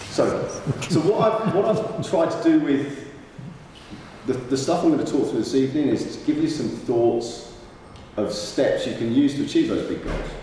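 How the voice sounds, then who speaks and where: Long, frequent pauses break up the speech, which carries strong room echo and light background noise. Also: man, moderate pace. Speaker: motivational speaker. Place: hall.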